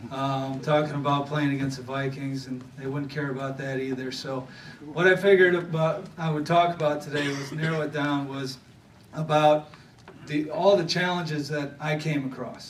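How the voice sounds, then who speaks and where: A man speaks in an American accent with fairly even intonation. There is noticeable background noise and audible room echo. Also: fairly high pitch for a man, moderate pace. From Wisconsin (Thorpe). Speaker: former pro football player, banquet speaker. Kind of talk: motivational speech. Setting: banquet stage with audience. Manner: halting, many fillers.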